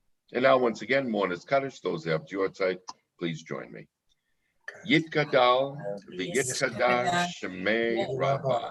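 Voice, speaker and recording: A man with a medium-pitched voice and vocal fry speaks at a fairly slow pace, with long, frequent pauses, very wide pitch swings and big swings in loudness. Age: 60s. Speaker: service leader. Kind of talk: religious service.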